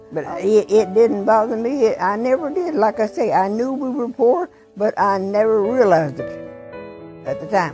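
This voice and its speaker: A woman with an American accent speaks at a moderate pace, fairly high in pitch and with very wide pitch swings. Music plays in the background. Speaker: grandmother recalling the Great Depression. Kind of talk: interview answer. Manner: hesitant, repetitive.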